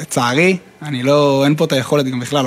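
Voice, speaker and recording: Against noticeable background noise, a man speaks at a fairly high pitch with fairly even intonation. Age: 30s. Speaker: reserve officer. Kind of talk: interview. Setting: military post outdoors in north.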